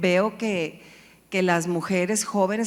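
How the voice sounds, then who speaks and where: A woman speaks in a normal speaking voice at medium pitch with fairly even intonation. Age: 60s. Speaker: business and civic leader. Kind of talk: panel discussion.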